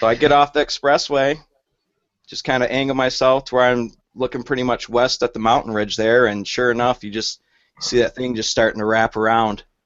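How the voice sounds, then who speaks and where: A man with a Michigan accent at a fairly quick pace, with fairly even intonation. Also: medium pitch for a man. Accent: northern US (Michigan). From Michigan, Flint area. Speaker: storm chaser. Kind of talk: casual chat. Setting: video call.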